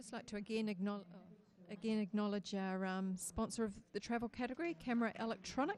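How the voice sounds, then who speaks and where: A woman with a New Zealand accent, medium pitch, ordinary pitch variation and a moderate pace. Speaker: judging panel chair. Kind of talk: competition judging moderation. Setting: judging room, livestream.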